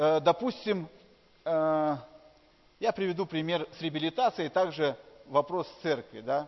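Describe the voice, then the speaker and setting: Long, frequent pauses break up this man's fairly slow speech. His pitch is fairly high, with ordinary pitch variation. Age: 40s. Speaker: pastor. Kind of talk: sermon.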